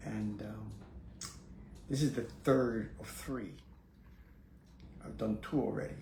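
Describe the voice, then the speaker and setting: Amid audible room echo, a man speaks at a very slow pace with long, frequent pauses and big swings in loudness. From Puerto Rico, then New York City from age 8. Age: 80s+. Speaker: Zen Buddhist priest and teacher. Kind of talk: casual spiritual talk to camera. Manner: halting, with many fillers.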